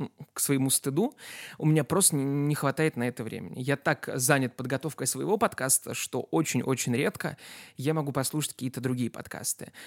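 A man speaks at a moderate pace with a fairly high pitch and ordinary pitch variation. The sound is dry and close with no echo, a very clean recording over a silent background. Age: 20s. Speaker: history podcaster and tutor. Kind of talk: scripted narration. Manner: clear diction.

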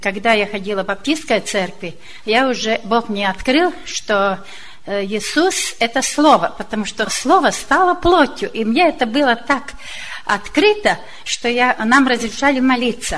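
Noticeable background noise surrounds a woman with a fairly high pitch. She speaks fairly slowly with lively intonation. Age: old. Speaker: church member. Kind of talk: testimony.

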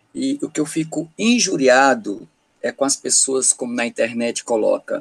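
The man speaks at a fairly slow pace, and the sound is dry and close with no echo. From Paraíba, Brazil (Campina Grande). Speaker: teacher. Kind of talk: casual chat. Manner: animated.

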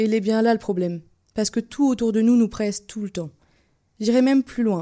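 A woman talks at a fairly quick pace in a fairly high pitch with a dark, mellow tone. The recording is very clean, with a silent background. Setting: radio studio.

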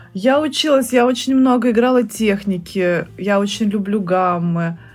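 Music plays behind a woman talking at a very slow pace. Her pitch is medium, with ordinary pitch variation. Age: 30s. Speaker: saxophonist and music teacher. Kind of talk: casual chat.

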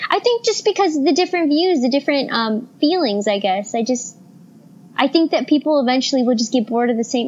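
Squeaky, high-pitched woman's voice at a fairly quick pace with lively intonation, amid noticeable background noise. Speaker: guest co-host. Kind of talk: casual chat.

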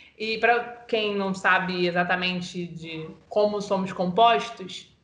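A woman speaks at medium pitch and a fairly slow pace. Her intonation is fairly even, and the room echo is audible. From Baixada Fluminense, Rio de Janeiro (Nilópolis). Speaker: journalist, podcast co-host. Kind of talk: casual discussion.

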